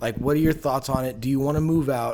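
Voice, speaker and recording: Over noticeable background noise, a man talks at a very fast pace in a medium-pitched voice. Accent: Californian. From US West Coast, San Jose, California. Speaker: podcast host. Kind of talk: casual chat.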